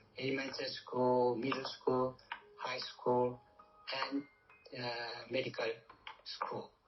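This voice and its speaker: Music plays in the background as the speaker, with a Korean accent, talks at a very slow pace with long, frequent pauses. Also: man. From South Korea. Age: 70s. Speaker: retired doctor. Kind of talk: interview. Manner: halting.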